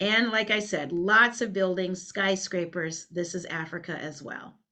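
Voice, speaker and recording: A woman's bright, sharp voice at a fairly slow pace. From Liberia. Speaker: cultural consultant. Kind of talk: training webinar talk. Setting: webinar.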